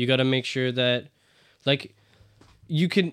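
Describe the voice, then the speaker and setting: A man with a normal speaking voice, medium pitch and a moderate pace, in a dry, close sound with no echo. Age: 20s. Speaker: podcast guest. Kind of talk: casual chat.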